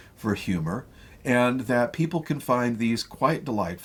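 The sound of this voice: Reading done in an unforced reading voice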